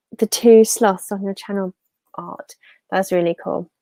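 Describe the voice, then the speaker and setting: With music in the background, a woman of medium pitch speaks fairly slowly and with fairly even intonation in a dry, close sound with no echo. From England, Peterborough. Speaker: YouTuber. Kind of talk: casual live stream chat. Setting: live stream.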